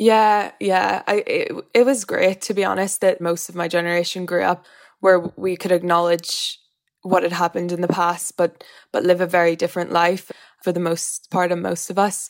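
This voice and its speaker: This woman has a Northern Irish accent. Her intonation stays flat and monotone. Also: fairly low pitch for a woman, moderate pace, very clean recording, silent background. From Northern Ireland. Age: 20s. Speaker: interviewee. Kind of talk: interview.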